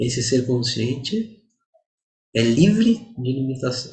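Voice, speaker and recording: A somewhat breathy male voice at medium pitch, with ordinary pitch variation and audible room echo. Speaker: Vedanta teacher. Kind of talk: lecture.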